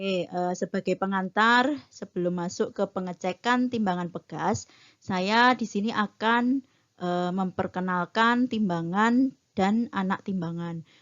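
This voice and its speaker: A woman with a slight Javanese accent speaks at medium pitch and a fairly slow pace, with ordinary pitch variation. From Bantul, Yogyakarta, Java, Indonesia. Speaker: metrology trainer. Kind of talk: lecture. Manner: frequent filler hesitations.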